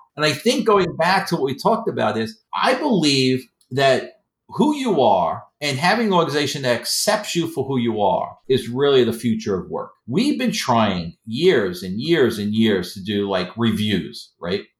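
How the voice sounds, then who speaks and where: A man of medium pitch with an American accent, vocal fry and very wide pitch swings, at a moderate pace with hardly any pauses. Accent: New York accent, people mistake for Boston. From Queens, New York. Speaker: professor and author. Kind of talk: casual interview conversation.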